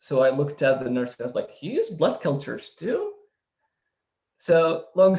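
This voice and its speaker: A man with a non-native accent at a fairly quick pace. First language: not English. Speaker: startup founder. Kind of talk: panel testimony. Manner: halting.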